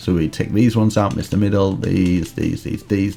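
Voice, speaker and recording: A man's fairly low-pitched voice at a moderate pace, over noticeable background noise. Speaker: Minecraft YouTuber. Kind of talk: tutorial. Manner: animated.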